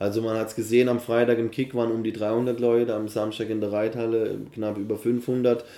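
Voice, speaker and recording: Flat, monotone intonation marks this man's fairly quick delivery. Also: medium pitch for a man, hardly any pauses. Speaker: event organiser and MC. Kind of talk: casual interview. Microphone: poor recording quality.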